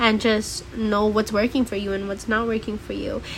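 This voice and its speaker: Noticeable background noise sits behind a woman's voice. She talks at a moderate pace in an animated tone. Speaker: podcast host. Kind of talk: casual monologue.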